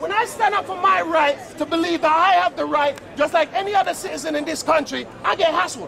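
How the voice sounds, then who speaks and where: Over crowd noise, a man with an extremely high pitch projects a raised voice in an animated tone with lively intonation. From London (Battersea), of West Indian descent. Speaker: PE teacher speaking as a local resident. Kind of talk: heated street argument. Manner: loud; animated, repetitive.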